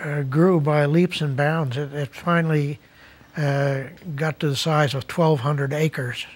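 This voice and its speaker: Somewhat breathy, a man talks at a fairly slow pace with fairly even intonation. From Netherlands, emigrated as child to New Jersey. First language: Dutch. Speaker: retired resident sharing life story. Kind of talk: interview. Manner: halting, many fillers.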